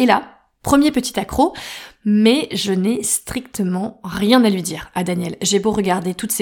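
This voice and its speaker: A woman with a normal speaking voice, medium in pitch, at a fairly slow pace. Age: 30s. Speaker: podcast host. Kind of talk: personal storytelling.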